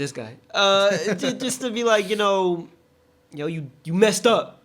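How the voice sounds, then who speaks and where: Intonation is lively, in an American accent. The pace is fairly slow. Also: man, high pitch for a man. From San Francisco Bay Area, US. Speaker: podcast co-host. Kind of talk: casual chat. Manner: animated.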